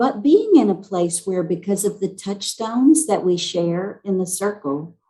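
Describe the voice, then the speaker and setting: A woman talks at a fairly slow pace with hardly any pauses, her pitch medium and her intonation lively. Her tone is dark and mellow, and somewhat breathy. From US South, South Carolina. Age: 60s. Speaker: racial healing facilitator. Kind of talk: panel discussion.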